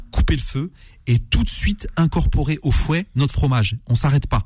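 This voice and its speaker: There's some breathiness in this man's voice. He speaks with lively intonation. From Algerian heritage, Kabylie family. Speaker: chef. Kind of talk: cooking tutorial on radio.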